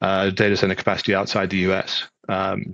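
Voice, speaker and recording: In a British accent, a man speaks at a fairly quick pace with a fairly low pitch and a bright, sharp tone. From UK. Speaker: data center executive. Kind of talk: interview. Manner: hesitant, many fillers.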